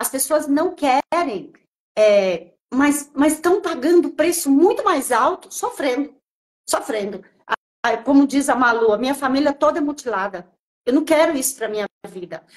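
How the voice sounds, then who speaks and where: A woman talks slowly-ish at a fairly slow pace, her high-pitched voice making very wide pitch swings. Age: 60s. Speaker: natural nutrition specialist and chef. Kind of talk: live stream conversation.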